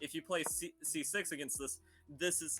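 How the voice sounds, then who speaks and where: A man talks with ordinary pitch variation as music plays in the background. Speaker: chess streamer. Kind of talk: chess coaching session. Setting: live stream. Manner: fast.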